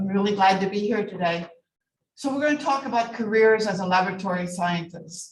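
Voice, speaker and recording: A woman with a medium pitch and ordinary pitch variation speaks fairly quickly in a somewhat breathy voice. Audible room echo surrounds her. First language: not English. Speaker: medical laboratory scientist and lecturer. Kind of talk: lecture.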